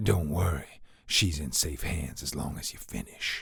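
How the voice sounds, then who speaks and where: A man uses a put-on character voice at a very deep, low pitch. It sounds raspy and moves at a moderate pace. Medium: read story. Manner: calm, smug, mocking.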